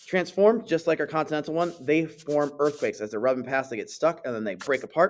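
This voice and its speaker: With music in the background, a man with a fairly high pitch talks at a fairly quick pace, hardly pausing. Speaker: science teacher. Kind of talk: tutorial. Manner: fast.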